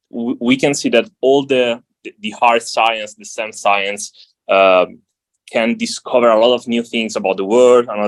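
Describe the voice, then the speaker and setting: With a non-native accent, a man speaks at medium pitch and a moderate pace, his intonation fairly even while his loudness swings widely. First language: not English. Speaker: visiting scholar, philosophy panelist. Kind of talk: panel discussion. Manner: halting, many repetitions.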